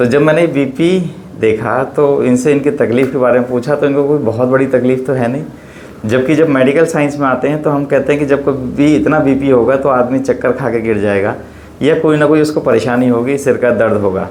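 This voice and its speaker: Over noticeable background noise, a man speaks at a medium pitch and moderate pace, with fairly even intonation and very even loudness. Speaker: homeopathy doctor. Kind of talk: casual talk to camera.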